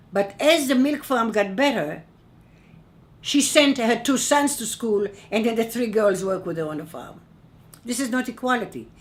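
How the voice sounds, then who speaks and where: Amid audible room echo, a woman with a fairly high pitch and lively intonation talks at a moderate pace, with long, frequent pauses. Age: 80s+. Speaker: human rights activist, keynote speaker. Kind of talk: keynote speech. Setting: conference. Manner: emphatic.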